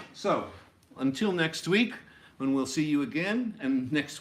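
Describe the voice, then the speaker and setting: Audible room echo surrounds a man who speaks at a moderate pace with lively intonation. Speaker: music teacher. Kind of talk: lecture. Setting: classroom video.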